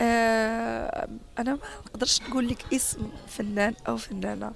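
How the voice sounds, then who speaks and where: A woman speaks with a Moroccan accent. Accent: Moroccan Arabic (Darija). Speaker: actress and dubbing artist. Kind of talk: interview.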